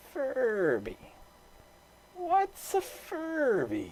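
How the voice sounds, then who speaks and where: A put-on character voice with a high pitch. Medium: read story. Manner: soft, wheedling.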